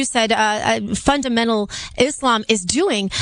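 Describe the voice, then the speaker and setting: There is noticeable background noise as a woman speaks in a high pitch with ordinary pitch variation. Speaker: radio host. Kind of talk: talk radio call-in.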